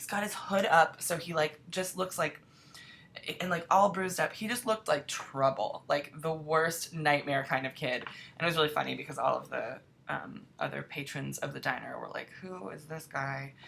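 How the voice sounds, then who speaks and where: A woman's very deep, low voice, with ordinary pitch variation and big swings in loudness. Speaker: TV writer answering fan questions. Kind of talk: casual Q&A vlog. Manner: fast.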